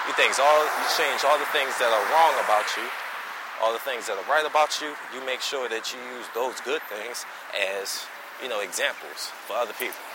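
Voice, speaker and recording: Noticeable background noise and audible room echo accompany a man's voice. He talks at a medium pitch and a moderate pace with ordinary pitch variation. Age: 20s. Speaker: podcast host. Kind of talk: casual monologue. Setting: outdoors, walking.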